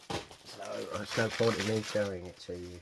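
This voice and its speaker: A man speaks with an English accent and ordinary pitch variation. Noticeable background noise runs behind him. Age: 60s. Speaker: scale model hobbyist. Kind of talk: casual unboxing video. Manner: chatty, with fillers.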